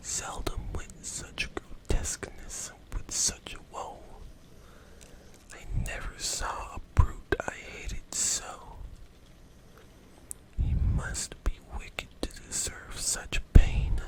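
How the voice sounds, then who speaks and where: Whispered words come very slowly, broken by long, frequent pauses, against noticeable background noise. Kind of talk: ASMR poetry reading. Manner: soft, quiet, late-night delivery.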